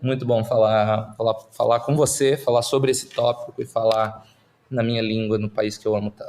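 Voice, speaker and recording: Speaking at a moderate pace, a man with a medium pitch keeps a flat, monotone intonation. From Brazil, Curitiba. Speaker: startup investor. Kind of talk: podcast interview. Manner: halting, many fillers and repeats.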